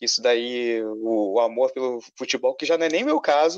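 The speaker has a Carioca accent, heard in dry, close sound with no echo. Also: man. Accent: carioca Brazilian Portuguese. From Rio de Janeiro (suburbs, north zone). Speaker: film critic and advertising illustrator. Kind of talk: casual chat.

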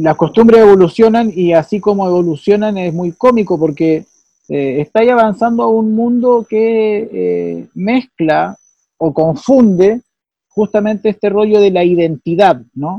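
At a fairly slow pace, a man speaks at a high pitch with ordinary pitch variation. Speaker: podcast co-host. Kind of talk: casual chat.

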